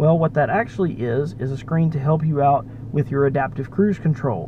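Speech moves at a moderate pace over clear background noise. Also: man.

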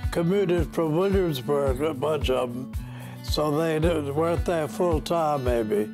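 Over clear music in the background, a man talks at a fairly slow pace. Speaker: university alumnus. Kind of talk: interview answer. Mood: warm, nostalgic. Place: home room.

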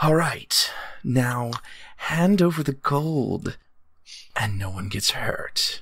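A man's put-on character voice, fairly high in pitch, very slow, with long, frequent pauses. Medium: actual play. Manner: cool, commanding, threatening.

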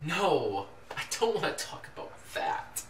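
In a put-on character voice, a man talks at a fairly slow pace with a fairly high pitch and very wide pitch swings, with audible room echo around him. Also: fairly bright tone.

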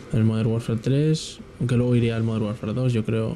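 Noticeable background noise can be heard throughout. Over it, a man speaks fairly quickly. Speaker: gaming youtuber. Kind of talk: live gameplay commentary. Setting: home at night. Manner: quieter than usual; hesitant, filler-heavy.

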